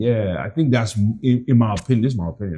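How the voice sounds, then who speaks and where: A man's voice comes through with a dark, mellow tone, somewhat breathy and with ordinary pitch variation. The recording is very clean, the background silent. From Nigeria (Lagos). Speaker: real estate agent. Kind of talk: interview. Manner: casual.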